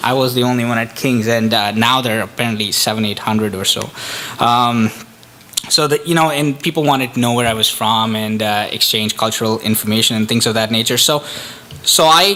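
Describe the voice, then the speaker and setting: A man's medium-pitched voice at a fairly quick pace, with noticeable background noise. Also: ordinary pitch variation. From India. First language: Indian language. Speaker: economic development officer, immigrant speaker. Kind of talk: public talk. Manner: halting, many fillers.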